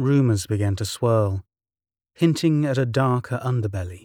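A man with a medium-pitched, dark, mellow and somewhat breathy voice speaks at a moderate pace in a theatrical tone with lively intonation. The recording is very clean, with a silent background. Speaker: narrator of mystery stories. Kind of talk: dramatic scripted narration of a spooky tale. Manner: theatrical, ominous, measured storytelling delivery; formal, ornate phrasing.

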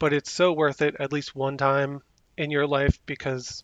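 With an American accent, a man speaks at a moderate pace and a fairly high pitch with fairly even intonation, using a normal speaking voice. The sound is dry and close with no echo, against a quiet background. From New Jersey. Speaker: Disney local.

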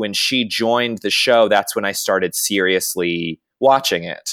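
In a very clean recording with a silent background, dry and close with no echo, a man with an American accent uses an unremarkable speaking voice at a medium pitch with ordinary pitch variation. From US South. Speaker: actor and podcast host. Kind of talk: casual chat.

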